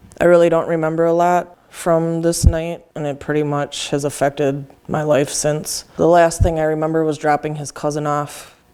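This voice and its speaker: Over noticeable background noise, a woman with a very deep, low pitch speaks in a monotone, flat intonation at a moderate pace with hardly any pauses. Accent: American. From Wisconsin, US Midwest. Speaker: person in recovery. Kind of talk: testimony.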